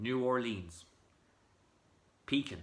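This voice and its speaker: A man speaks with an Irish accent. His pace is very slow. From Ireland, County Monaghan. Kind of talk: casual talk to camera.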